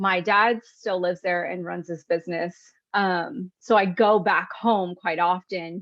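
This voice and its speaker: At a fairly slow pace, a woman speaks with an American accent at a medium pitch. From US West, central California foothills. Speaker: entrepreneur and podcast guest. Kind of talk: casual interview chat. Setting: video call. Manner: animated.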